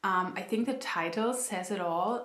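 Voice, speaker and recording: A woman with a non-native accent speaks at a fairly slow pace, with audible room echo and noticeable background noise. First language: not English. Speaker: book youtuber. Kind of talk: casual chat. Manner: chatty, many fillers.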